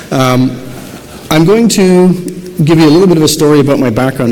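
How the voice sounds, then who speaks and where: There is noticeable background noise and audible room echo as a man with an Irish accent talks at a fairly quick pace. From southern Ireland. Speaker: optometrist and researcher. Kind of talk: conference lecture. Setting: stage with audience, PA system. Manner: soft-spoken; fast. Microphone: too quiet at first, volume adjusted.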